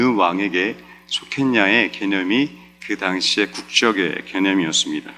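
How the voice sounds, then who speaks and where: Over music in the background, a man talks at a fairly slow pace. His fairly low voice carries lively intonation. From South Korea. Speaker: pastor. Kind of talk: sermon.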